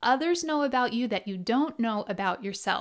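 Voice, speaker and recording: In an American accent, a woman with a high pitch speaks at a moderate pace with an intense tone and lively intonation, on a very clean recording with a silent background. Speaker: podcast host. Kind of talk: solo podcast monologue. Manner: authoritative, can sound intense.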